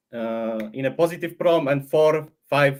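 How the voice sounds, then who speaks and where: This man has a non-native accent and a medium-pitched voice. His pitch varies in an ordinary way. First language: not English. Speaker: AI model creator. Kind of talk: casual interview on livestream. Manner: halting, many restarts.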